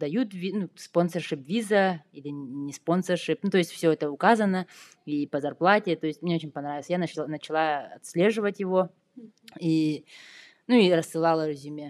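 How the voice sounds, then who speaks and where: A woman with a normal speaking voice, fairly low in pitch, at a moderate pace, with ordinary pitch variation, big swings in loudness and a dry, close sound with no echo. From Yakutia, Russia. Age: 30s. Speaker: software developer. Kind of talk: casual interview.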